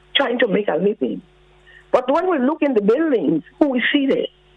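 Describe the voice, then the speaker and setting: A woman's high-pitched voice with very wide pitch swings, over noticeable background noise. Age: 70s. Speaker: caller. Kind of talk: call-in radio comment.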